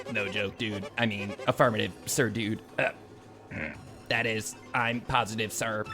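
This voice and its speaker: A man puts on a robotic, breathy character voice at a medium pitch and a moderate pace. Clear music plays in the background. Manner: stiff, deferential.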